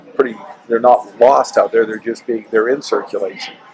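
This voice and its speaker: Noticeable background noise runs under a man who talks with an American accent. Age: 60s. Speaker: real estate developer and coin collector. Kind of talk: interview. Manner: halting.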